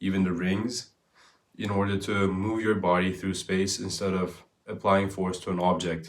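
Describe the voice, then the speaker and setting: A man speaks fairly slowly at a fairly low pitch. His intonation is fairly even, with audible room echo. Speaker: fitness content creator. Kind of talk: casual explainer monologue.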